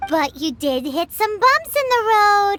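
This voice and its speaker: A put-on character voice, extremely high and bubbly, with very wide pitch swings at a fairly slow pace over music in the background. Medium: video game. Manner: chatty, bubbly.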